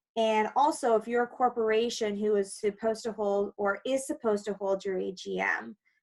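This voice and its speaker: With a Canadian accent and an unremarkable speaking voice, a woman talks fairly quickly at a fairly high pitch, hardly pausing, her intonation fairly even. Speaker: condo lawyer. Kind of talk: webinar presentation.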